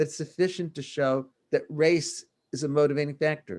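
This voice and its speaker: At a moderate pace, a man speaks in an ordinary speaking voice, fairly high in pitch, with ordinary pitch variation. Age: 60s. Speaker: law professor. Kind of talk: keynote lecture. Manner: formal.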